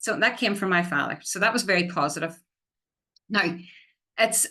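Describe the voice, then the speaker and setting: Her bright, sharp tone sits at a fairly low pitch for a woman. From Northern Ireland, County Tyrone. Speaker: Irish language development officer. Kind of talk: public talk.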